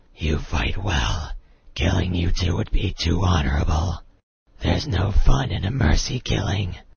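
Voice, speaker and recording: A man uses a cartoonish character voice with a very deep, low pitch. He keeps a moderate pace and lively intonation. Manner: menacing, cold.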